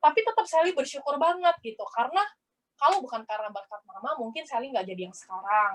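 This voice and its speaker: Speaking at a very fast pace with a Palembang accent, a woman uses a high pitch, very wide pitch swings and big swings in loudness. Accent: Palembang accent, somewhat rough. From South Sumatra, Palembang. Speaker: network marketing business owner. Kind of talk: motivational testimony.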